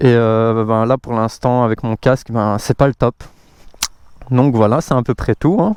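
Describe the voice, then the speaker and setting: A man talks at a medium pitch and fairly slow pace, with fairly even intonation and long, frequent pauses. The recording is very clean and dry, close with no echo and a silent background. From Belgium, Brussels. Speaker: motorcycle vlogger. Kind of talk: casual vlog presentation. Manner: hesitant, many fillers.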